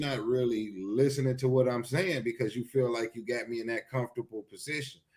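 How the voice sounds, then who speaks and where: This man talks at a fairly quick pace, his medium pitch moving with ordinary variation. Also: hardly any pauses. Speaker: show co-host. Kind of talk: casual chat. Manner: loud; animated.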